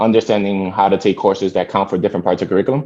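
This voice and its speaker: With an American accent, a man talks at a very fast pace in a fairly low voice with a dark, mellow tone. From New York City, from Dominican Republic. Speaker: philanthropy program manager. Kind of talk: interview.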